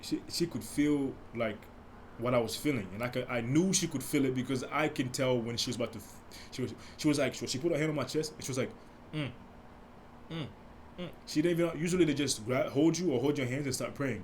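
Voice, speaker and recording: Speaking at a very fast pace yet with long, frequent pauses, a man sounds somewhat breathy, his pitch varying in an ordinary way amid audible room echo. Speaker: podcast host. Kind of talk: casual monologue. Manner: soft-spoken; halting.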